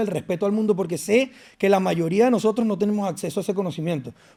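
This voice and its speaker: A man talks at a very fast pace in a high pitch. His tone is dark and mellow. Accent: Venezuelan. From Venezuela. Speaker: fitness and nutrition influencer. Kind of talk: podcast interview.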